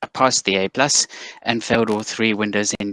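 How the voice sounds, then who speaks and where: A man with a South African accent, fairly low in pitch and bright, sharp in tone, at a moderate pace in a dry, close sound with no echo. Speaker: cybersecurity executive. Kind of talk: interview.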